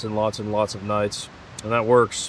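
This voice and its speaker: There is noticeable background noise as a man talks at medium pitch. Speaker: hiking vlogger. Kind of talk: outdoor vlog narration. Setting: outdoors at a backcountry campsite.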